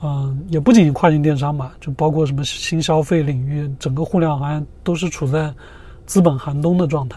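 Over noticeable background noise, a man talks at a fairly high pitch with fairly even intonation. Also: moderate pace. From China. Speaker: entrepreneur. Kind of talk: interview.

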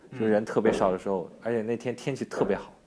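At a fairly quick pace, a man with a fairly low pitch speaks in a monotone, flat way. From Yancheng, Jiangsu; raised in Yangzhou from age ~11. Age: young. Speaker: video creator and studio owner. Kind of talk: casual interview.

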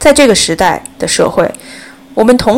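The pitch swings very widely. Noticeable background noise runs underneath. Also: woman. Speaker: podcast host. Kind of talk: solo commentary podcast.

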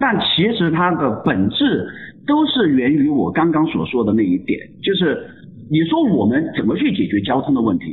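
A man at a moderate pace with very even loudness. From Chongqing, China. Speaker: photographer. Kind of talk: casual interview chat.

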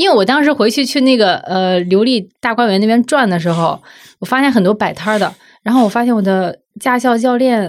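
A woman with an ordinary speaking voice talks at a fairly quick pace and fairly high pitch, with lively intonation and very even loudness on a very clean recording with a silent background. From Zibo, Shandong. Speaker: magazine editor. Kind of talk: casual chat.

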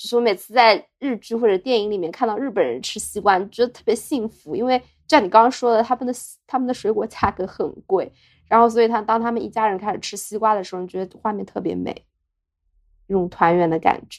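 Against a quiet background, a woman speaks at a very fast pace with a fairly high pitch. Her pitch variation is ordinary, while her loudness swings widely. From Jiaxing, Zhejiang, China. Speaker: podcast co-host. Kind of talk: casual chat. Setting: hotel room.

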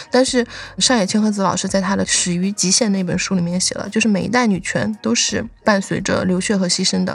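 Her voice is somewhat breathy, and she talks at a fairly quick pace. The woman uses ordinary pitch variation. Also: medium pitch for a woman. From Guizhou, Guiyang. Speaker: PhD student, guest co-host candidate. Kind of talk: casual chat. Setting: video call from her lab.

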